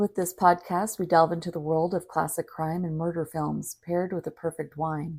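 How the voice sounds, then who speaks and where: A woman with a fairly low pitch talks in a flat monotone with a dark, mellow tone, on a very clean recording with a silent background. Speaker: podcast host. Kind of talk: podcast intro and wine tasting talk.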